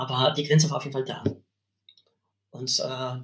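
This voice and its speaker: With a Polish accent, a man speaks with fairly even intonation. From Poland, West Pomerania. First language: Polish (speaking German). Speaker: university language lecturer. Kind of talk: interview conversation. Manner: hesitant, many fillers.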